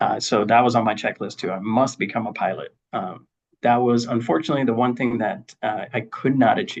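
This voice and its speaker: At a fairly quick pace, a man speaks in a medium pitch with ordinary pitch variation. The background is quiet. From Spanish-speaking country, moved to US as child. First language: Spanish. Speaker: engineering leader. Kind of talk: interview. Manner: many fillers and repetitions.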